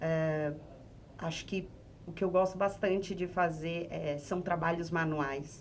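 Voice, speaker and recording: A woman's fairly low voice at a very slow pace. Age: 30s. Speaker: sex therapist. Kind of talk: podcast interview.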